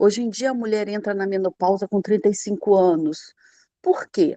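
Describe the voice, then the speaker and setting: Against a quiet background, a woman talks at a moderate pace in a dark, mellow tone. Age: 60s. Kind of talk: online mentoring class. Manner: informal, conversational.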